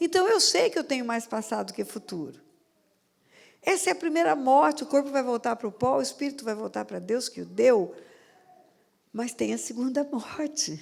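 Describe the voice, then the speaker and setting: At a moderate pace broken by long, frequent pauses, a woman speaks with a high pitch and very wide pitch swings. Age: 70s. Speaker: pastor. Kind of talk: sermon.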